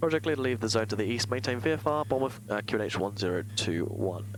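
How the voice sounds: A man speaks quickly at a fairly low pitch, with ordinary pitch variation.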